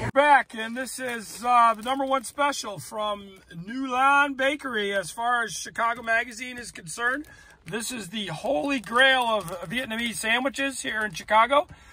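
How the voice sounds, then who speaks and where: The raised, projected voice has a bright, sharp tone, a moderate pace, ordinary pitch variation and big swings in loudness, heard dry with no echo over light background noise. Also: man. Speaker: food vlogger. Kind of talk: casual vlog chat. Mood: wry, upbeat. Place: car. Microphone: phone near.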